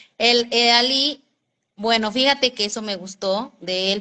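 With a Mexican accent, the speaker uses a bright, sharp tone and ordinary pitch variation against a quiet background. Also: woman. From Mexico. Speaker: vlogger. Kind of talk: casual livestream chat. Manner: animated. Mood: chatty, amused storytelling. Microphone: phone near.

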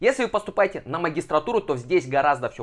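The background is quiet. A man speaks in an animated tone. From Kazakhstan, Almaty. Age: 20s. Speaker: education blogger; education advice vlogger. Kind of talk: informational vlog. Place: home room. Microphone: lapel.

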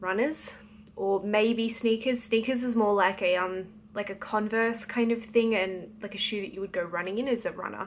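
Over light background noise, a woman with an Australian accent speaks at a moderate pace in a fairly high voice with ordinary pitch variation. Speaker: novelist. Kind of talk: casual talk to camera. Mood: light, playful. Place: home room. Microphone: phone near.

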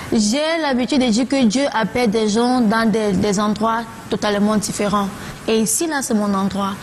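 Over light background noise, a woman speaks at a moderate pace with very even loudness. Her pitch is fairly high, with ordinary variation. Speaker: singer; guest. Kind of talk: TV talk show interview. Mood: relaxed, candid. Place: studio.

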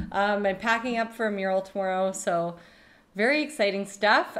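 At a fairly slow pace, a woman speaks with a medium pitch. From Canada. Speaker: podcast host and artist. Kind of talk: casual chat. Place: home room. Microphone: studio mic.

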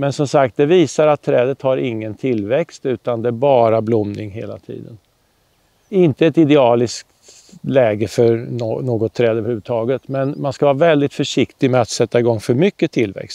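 A man's dark, mellow tone at a moderate pace, with ordinary pitch variation, a dry sound with no echo, and a quiet background. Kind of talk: tutorial. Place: garden.

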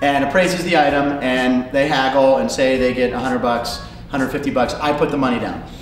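Light background noise and audible room echo surround a man who speaks at a fairly quick pace with fairly even intonation. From Pittsburgh. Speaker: comedian and game show host. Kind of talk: interview answer.

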